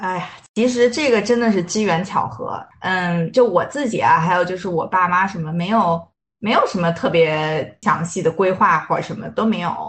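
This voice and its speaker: A woman's somewhat breathy, medium-pitched voice moves at a moderate pace with ordinary pitch variation. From Beijing, China. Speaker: life coach. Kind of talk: interview conversation. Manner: hesitant, many fillers.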